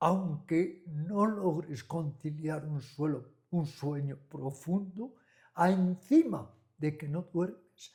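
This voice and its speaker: A man speaks very slowly at a fairly high pitch. His tone is dark and mellow, and his intonation is fairly even. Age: 80s+. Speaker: meditation and yoga teacher. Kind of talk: interview conversation. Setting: at a friend's home.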